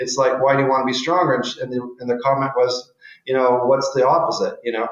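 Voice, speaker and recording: Audible room echo surrounds a man whose pitch is fairly high for a man. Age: 60s. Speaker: cosmetic surgeon. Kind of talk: casual chat. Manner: halting, with frequent restarts.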